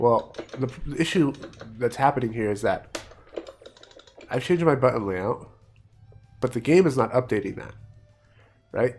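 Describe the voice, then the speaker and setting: At a moderate pace, the speech comes with long, frequent pauses while music plays in the background. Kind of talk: casual gameplay commentary.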